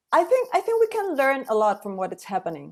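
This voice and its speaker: A voice speaks in a strong Mexican accent. The recording is very clean with a silent background. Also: woman. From Mexico. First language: Spanish. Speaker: singer. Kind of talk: panel conversation.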